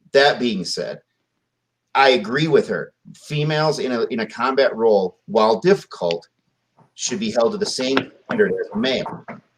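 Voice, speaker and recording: Using a fairly high pitch and very wide pitch swings, a man speaks in an animated tone with vocal fry, a moderate pace, and long, frequent pauses. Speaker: army veteran. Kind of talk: casual chat.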